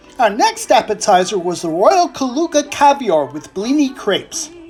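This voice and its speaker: An extremely high male voice in an American accent, with very wide pitch swings and music in the background. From United States. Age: 60s. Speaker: food vlogger. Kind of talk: scripted narration.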